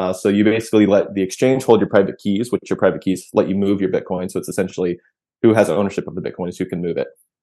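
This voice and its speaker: A man's dark, mellow tone at a fairly low pitch, very fast pace and ordinary pitch variation. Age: 30s. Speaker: product manager, crypto company. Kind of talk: tutorial.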